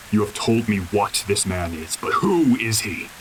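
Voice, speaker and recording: A man puts on a growling character voice at a fairly low pitch, talking at a moderate pace with lively intonation over light background noise. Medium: audio drama. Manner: formal, furious.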